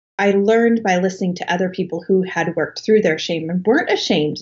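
A woman's medium-pitched, somewhat breathy voice with a General American accent and fairly even intonation. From Colorado, US. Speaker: author. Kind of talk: interview.

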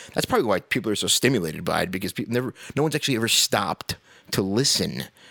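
Over a dry, close sound with no echo, a man with an American accent talks at a very fast pace with lively intonation and a fairly low pitch. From New York. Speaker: podcast host. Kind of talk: casual rant monologue.

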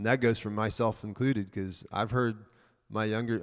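In a very clean recording with a silent background, a man with a normal speaking voice talks at a moderate pace and a medium pitch, with ordinary pitch variation. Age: 30s. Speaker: church member preparing for mission work. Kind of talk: church talk.

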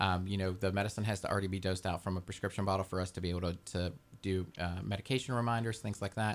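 A man with an American accent talks at a very fast pace. His fairly low voice keeps a fairly even intonation. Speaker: home care agency representative. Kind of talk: casual radio interview. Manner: jokey.

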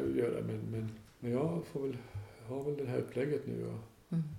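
Both noticeable background noise and audible room echo accompany this man's voice. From northern Dalarna, Sweden. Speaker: hostel owner. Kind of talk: interview. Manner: halting.

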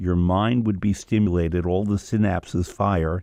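A man with an American accent speaks at a very deep, low pitch in a dark, mellow tone. His intonation stays fairly even over a quiet background. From New York. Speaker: food and culture expert, author. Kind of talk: radio interview.

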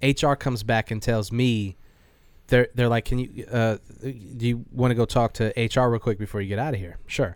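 A man with an ordinary speaking voice talks at a moderate pace, medium in pitch, with fairly even intonation. The recording is very clean, with a silent background. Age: 30s. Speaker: beer podcast co-host. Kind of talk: casual chat.

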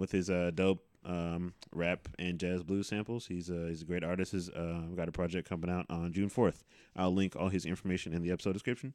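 Speaking at a fairly quick clip with hardly any pauses, a man with a very deep, low voice keeps his intonation fairly even on a very clean recording with a silent background. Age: 30s. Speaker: podcast host. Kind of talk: casual chat.

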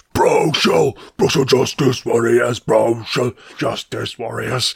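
A raspy, put-on character voice from a man at a fairly slow pace, dry and close with no echo. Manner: strained, loud announcer.

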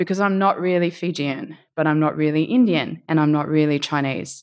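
A woman's voice with an Australian accent, very clean recording, silent background. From Australia, Sydney area. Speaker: storyteller. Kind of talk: storytelling performance.

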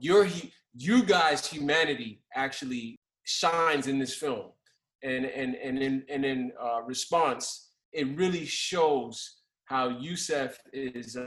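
A fairly high-pitched man with a New York accent, at a very slow pace. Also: ordinary pitch variation. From New York, Brooklyn. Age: 40s. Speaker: podcast host, criminal defense attorney. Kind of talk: casual interview. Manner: halting, many fillers.

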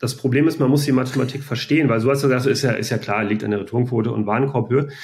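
At a very fast pace, a man talks in a medium pitch with vocal fry and ordinary pitch variation. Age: 40s. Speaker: e-commerce company founder. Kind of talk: interview. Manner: hesitant, many filler sounds.

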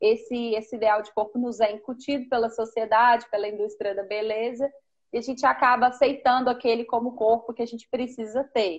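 Speaking with monotone, flat intonation, a woman talks fairly quickly at a fairly high pitch. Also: big swings in loudness. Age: 30s. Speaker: preschool teacher. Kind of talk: live-stream conversation. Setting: Instagram live video call.

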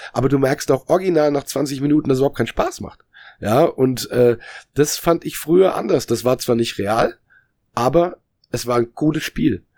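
Delivery comes at a moderate pace, with ordinary pitch variation. It is an unremarkable speaking voice. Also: man, fairly high pitch for a man. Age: 40s. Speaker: musician and former games journalist. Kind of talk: casual chat. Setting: video call.

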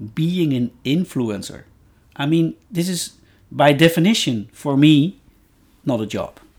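Long pauses come often as the talking unfolds fairly slowly. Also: man, fairly high pitch for a man, lively intonation. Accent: Dutch. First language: Dutch. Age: 50s. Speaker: podcast guest, host's father. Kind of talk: casual chat. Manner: halting.

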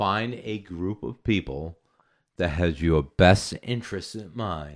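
A man's very deep, low voice with an American accent and ordinary pitch variation, on a very clean recording over a silent background. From Massachusetts (Natick, Boston area). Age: 40s. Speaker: recording studio owner. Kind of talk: casual chat. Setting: home studio.

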